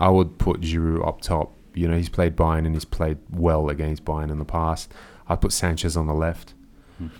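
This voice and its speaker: This man has an Australian accent and a very deep, low pitch. He speaks at a moderate pace. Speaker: football podcast host. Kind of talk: casual chat.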